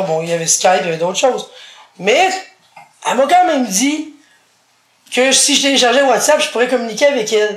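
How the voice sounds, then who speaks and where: A woman with a Quebec accent, high pitch and very wide pitch swings, at a moderate pace, with audible room echo. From Quebec, Montreal. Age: 40s. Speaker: blind interviewee. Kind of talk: casual interview.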